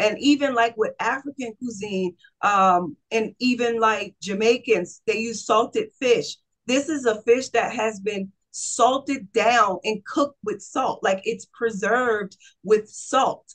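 Against a quiet background, a woman talks at a very slow pace with a fairly high pitch and ordinary pitch variation. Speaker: holistic health practitioner. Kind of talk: casual interview. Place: home room. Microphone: video call.

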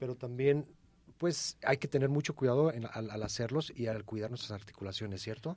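A man's voice comes through with a dry sound with no echo at a moderate pace. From Mexico. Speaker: radio co-host. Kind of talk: radio health call-in show. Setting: radio studio. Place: studio.

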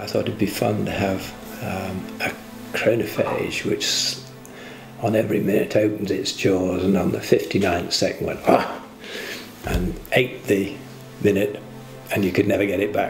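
Over clear background music, a man talks at a moderate pace with long, frequent pauses and a flat, monotone delivery. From England. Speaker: inventor. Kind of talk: interview answer. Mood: warm, amused, storytelling. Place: home room. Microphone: lapel.

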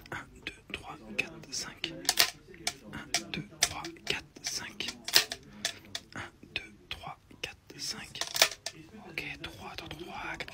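A man whispers at a very slow pace with long, frequent pauses. Noticeable background noise runs underneath. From France. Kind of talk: counting aloud while working. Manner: whispered.

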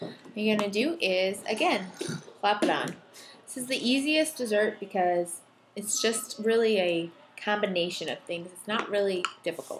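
With lively intonation and long, frequent pauses, a woman speaks at a moderate pace over noticeable background noise. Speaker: home cooking vlogger. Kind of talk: casual cooking tutorial. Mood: cheerful, laughing. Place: kitchen. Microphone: webcam.

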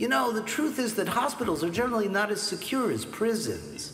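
With faint music in the background and audible room echo, a man talks at a moderate pace in a high voice. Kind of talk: drama dialogue. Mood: calm, veiled threat. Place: home room.

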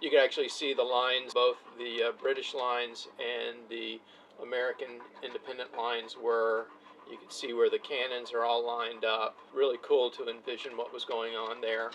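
Light background noise sits behind a man whose delivery is moderate in pace. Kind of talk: casual vlog chat. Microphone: camera far.

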